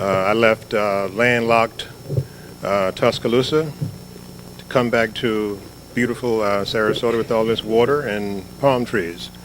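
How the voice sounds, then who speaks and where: A man talks at a fairly slow pace with fairly even intonation. Noticeable background noise runs behind him. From Florida. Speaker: journalist and columnist. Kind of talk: panel talk.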